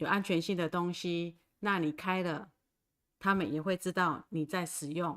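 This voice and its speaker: A woman with a fairly low pitch, fairly even intonation and a fairly slow pace. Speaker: Taiwanese language teacher. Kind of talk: livestream language lesson. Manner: slow, repetitive.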